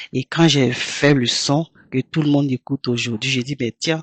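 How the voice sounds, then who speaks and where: A woman at a very deep, low pitch and a fairly slow pace, with fairly even intonation in a dry, close sound with no echo. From Côte d'Ivoire, Abidjan. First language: Toura (speaking French). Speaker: singer. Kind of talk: interview.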